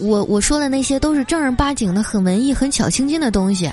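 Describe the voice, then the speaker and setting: Fairly quick speech with very wide pitch swings, audible room echo and music in the background. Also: woman. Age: 20s. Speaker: podcast host. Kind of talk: comedic storytelling. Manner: animated.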